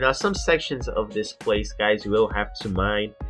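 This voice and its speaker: A man speaks with music in the background. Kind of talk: gaming commentary. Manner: casual, hesitant fillers.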